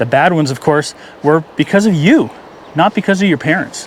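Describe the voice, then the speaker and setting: A man talks at a fairly quick pace with a fairly high pitch. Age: 60s. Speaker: fishing vlogger. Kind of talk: casual monologue vlog. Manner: halting.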